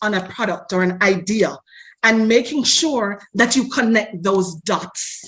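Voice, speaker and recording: Speaking with a Jamaican accent, a woman uses a fairly high, somewhat breathy voice and a passionate tone at a fairly slow pace. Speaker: marketing expert. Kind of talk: interview.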